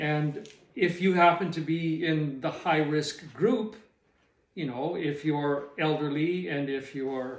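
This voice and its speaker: A man's fairly high-pitched voice in a western Canadian accent, at a very slow pace with ordinary pitch variation and audible room echo. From Canadian prairies. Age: 60s. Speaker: retired small business owner. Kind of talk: personal reflection monologue. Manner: halting.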